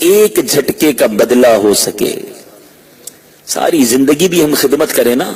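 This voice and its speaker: Very wide pitch swings against noticeable background noise. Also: man. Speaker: Islamic preacher. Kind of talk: religious sermon. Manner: emotional, emphatic.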